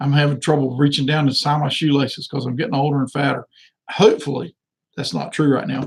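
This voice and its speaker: A man's fairly high, somewhat breathy voice at a very fast pace. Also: ordinary pitch variation. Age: 60s. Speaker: political candidate. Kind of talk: live stream monologue. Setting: live video stream. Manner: halting, repetitive fillers.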